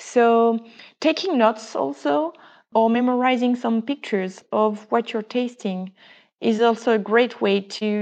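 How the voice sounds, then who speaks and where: A woman's fairly high voice at a fairly slow pace, over a quiet background. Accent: French. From France. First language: French. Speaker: wine business founder, wine educator. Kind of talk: casual interview.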